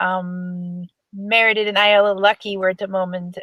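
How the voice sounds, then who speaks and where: A woman with a German accent talks at a moderate pace and medium pitch with fairly even intonation, in a dry, close sound with no echo. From Germany. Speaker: horse lunging coach. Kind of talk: webinar presentation. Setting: online webinar. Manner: halting, many fillers.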